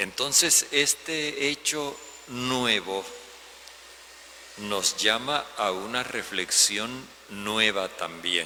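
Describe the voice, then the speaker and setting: Against noticeable background noise, a medium-pitched man speaks at a very slow pace with lively intonation and long, frequent pauses. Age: 70s. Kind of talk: homily.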